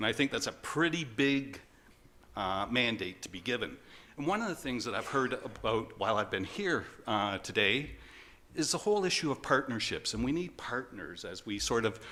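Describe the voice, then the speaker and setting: With a Canadian accent, a man's bright, sharp voice shows vocal fry and very wide pitch swings. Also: medium pitch for a man. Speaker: conference presenter. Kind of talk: conference presentation. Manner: fast.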